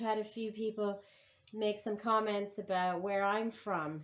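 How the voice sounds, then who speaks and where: A woman speaks at a moderate pace with a fairly high pitch. Hers is an unremarkable speaking voice. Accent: Canadian. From Ontario, Canada (small town). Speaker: sports management business owner, co-host. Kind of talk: casual quiz game.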